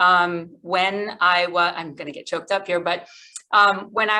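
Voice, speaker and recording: A woman with an American accent, at medium pitch and a fairly slow pace. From Massachusetts, Fall River. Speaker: government agency director. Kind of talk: presentation. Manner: casual, many fillers.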